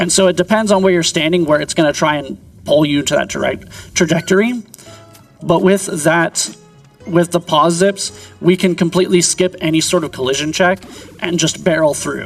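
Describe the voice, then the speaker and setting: Over music in the background, the speaker talks at a moderate pace with ordinary pitch variation. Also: man, high pitch for a man. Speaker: speedrunner. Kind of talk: live commentary while playing.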